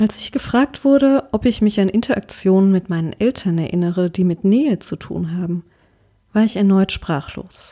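Lively in intonation, a woman's dark, mellow voice comes through a very clean recording with a silent background. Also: medium pitch for a woman, moderate pace. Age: 30s. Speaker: podcaster sharing personal story. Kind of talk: scripted personal narration.

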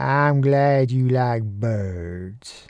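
The speaker uses a put-on character voice with a drawling delivery. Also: man, medium pitch for a man. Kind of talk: folksy. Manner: slow drawl.

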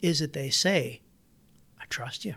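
A man with an American accent speaks at a moderate pace, his voice fairly high and somewhat breathy. His intonation is lively, and the recording is very clean with a silent background. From Iowa. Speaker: entrepreneur and inventor. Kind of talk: interview.

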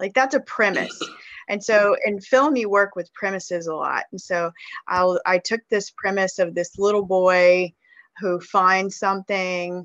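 A woman's unremarkable speaking voice with an American accent, medium in pitch, fairly slow and fairly even in intonation, with a dry, close sound free of echo over a quiet background. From US South (Mississippi River region). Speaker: children's author. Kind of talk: interview.

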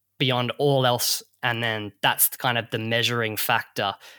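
In an Australian accent, a man speaks at medium pitch and a fairly slow pace in a bright, sharp tone. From Perth, Western Australia. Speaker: bartender and distillery owner. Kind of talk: casual interview.

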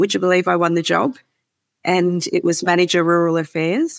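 This woman, with an Australian accent, speaks at a moderate pace with fairly low pitch. The sound is dry and close with no echo, on a very clean recording with a silent background. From Melbourne, Australia. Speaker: CEO of a farmer climate advocacy group. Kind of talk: interview conversation.

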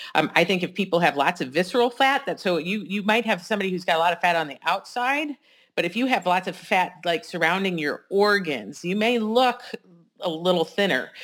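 In an ordinary speaking voice, a woman talks at a fairly quick pace and medium pitch with lively intonation. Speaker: doctor and co-host. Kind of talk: casual conversational podcast discussion of science news.

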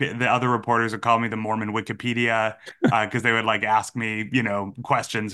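Against a quiet background, a man with an American accent talks very fast in a fairly low, monotone, flat voice with a bright, sharp tone. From Massachusetts, US. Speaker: journalist and author. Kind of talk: interview.

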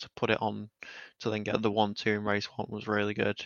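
A man's fairly low voice carries his words at a moderate pace. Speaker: racing engineer. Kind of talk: casual chat.

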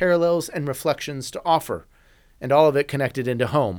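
A man races along at a very fast pace in a very clean recording with a silent background. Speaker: chaplain and podcast host. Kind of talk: sermon-like devotional reflection.

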